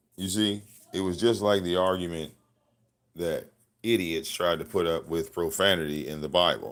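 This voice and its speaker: The man's pitch is very deep and low. He talks at a moderate pace with ordinary pitch variation. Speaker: livestream commentator. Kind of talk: casual livestream rant. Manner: loud.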